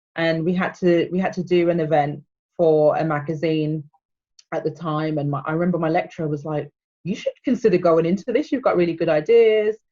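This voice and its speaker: Speaking at a fairly quick pace, a woman with a slight Birmingham accent has a dark, mellow tone, a fairly low pitch and ordinary pitch variation. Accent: slight Birmingham (Brummie). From England, Birmingham. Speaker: PR manager. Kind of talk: casual interview chat.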